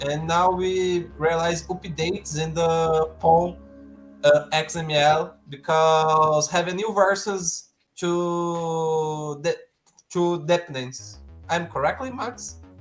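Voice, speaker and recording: With music in the background, a speaker with a Portuguese accent talks at a very slow pace. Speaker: software developer co-host. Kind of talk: live coding stream. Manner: halting.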